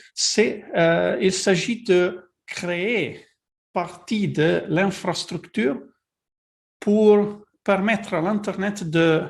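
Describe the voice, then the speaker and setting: Speaking at a very slow pace, the man has a non-native accent. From Italy. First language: Italian (speaking French). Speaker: technical advisor presenting a webinar. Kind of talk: webinar presentation. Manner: halting, many fillers and repetitions.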